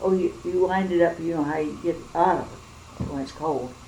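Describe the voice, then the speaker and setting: A woman with a Midwestern US accent speaks at a moderate pace in a fairly low voice, her intonation fairly even, over noticeable background noise and audible room echo. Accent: rural Midwestern American. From central Illinois. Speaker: oral history interviewee. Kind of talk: oral history interview. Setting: at home.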